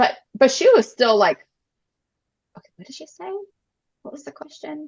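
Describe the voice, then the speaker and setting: A woman speaks with a high pitch and very wide pitch swings. Her loudness also swings a lot. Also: moderate pace. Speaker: adoptive mom. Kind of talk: interview conversation.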